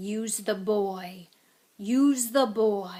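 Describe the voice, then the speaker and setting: The speaker uses a put-on character voice with a fairly high pitch. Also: female-sounding voice. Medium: read story. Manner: cold, commanding.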